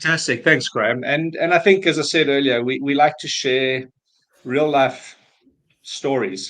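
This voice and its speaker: A man speaks with a South African accent at a fairly high pitch. His pace is fairly slow and his pitch variation ordinary. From South Africa, Cape Town. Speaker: business valuation advisor. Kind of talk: webinar presentation. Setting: online webinar.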